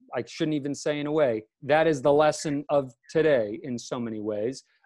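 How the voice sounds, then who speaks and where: In a Boston accent, a man speaks at a moderate pace with a fairly high pitch. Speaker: law student podcast host. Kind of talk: casual podcast hosting. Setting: video call.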